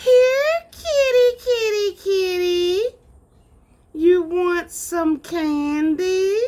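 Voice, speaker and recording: A put-on character voice that sounds female speaks at a very slow pace with an extremely high pitch. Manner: wicked, scary.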